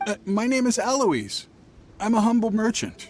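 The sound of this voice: A man does a put-on character voice, high-pitched with big pitch swings. He talks at a moderate pace over faint background music.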